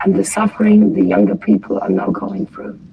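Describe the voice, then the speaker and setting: A woman's voice over noticeable background noise. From Germany. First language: German. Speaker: former Jehovah's Witness participant. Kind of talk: group discussion. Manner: halting.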